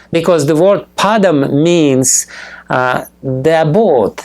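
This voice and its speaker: At a very slow pace, a man with a fairly high pitch talks in a lively intonation. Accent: non-native. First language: not English. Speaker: spiritual teacher. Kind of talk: lecture. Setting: temple with audience. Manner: halting, many fillers.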